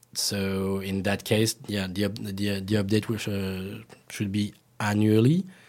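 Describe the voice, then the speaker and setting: Speaking at a fairly slow pace, a man with a French accent holds a fairly low pitch and a monotone, flat intonation on a very clean recording with a silent background. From France. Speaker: cocktail blogger. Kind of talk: casual chat. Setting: studio.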